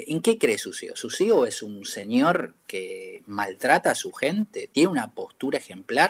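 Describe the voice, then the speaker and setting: In a Rioplatense accent, a man speaks at a very slow pace, with a dry, close sound and no echo. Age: 50s. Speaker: advertising executive. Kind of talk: interview. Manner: halting.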